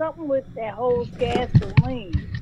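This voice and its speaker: High-pitched female speech at a moderate pace, noticeable background noise behind it. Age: 50s. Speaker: call-in participant. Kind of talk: casual chat.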